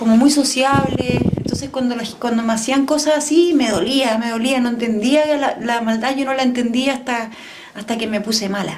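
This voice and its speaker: A woman speaks at a moderate pace in a high voice with ordinary pitch variation, and the recording carries noticeable background noise and audible room echo. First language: French (speaking Spanish). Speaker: podcast guest, raised in a diplomatic family. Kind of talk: personal interview testimony. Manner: reflective, conversational.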